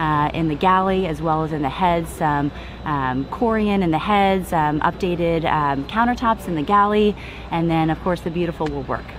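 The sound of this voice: A woman speaks low at a moderate pace, with few pauses and ordinary pitch variation. Background noise is clearly audible.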